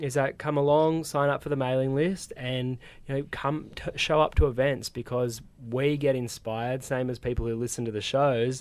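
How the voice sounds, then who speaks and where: A man in an Australian accent at medium pitch, moderate pace and fairly even intonation. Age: young. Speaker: podcast host. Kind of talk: casual interview chat. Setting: radio studio.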